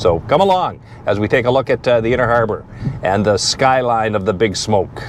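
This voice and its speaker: Over noticeable background noise, a man talks at a fairly quick pace and a medium pitch with ordinary pitch variation. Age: 60s. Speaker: vlogger. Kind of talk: casual vlog narration. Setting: outdoors.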